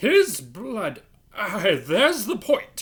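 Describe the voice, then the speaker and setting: Using a put-on character voice, a woman speaks at a medium pitch with very wide pitch swings. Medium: read story.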